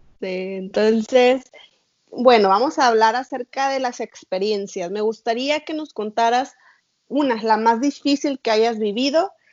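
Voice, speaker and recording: At a fairly slow pace, a woman talks in a plain, everyday voice with a fairly high pitch and ordinary pitch variation. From Mexico. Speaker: podcast host. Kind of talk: interview.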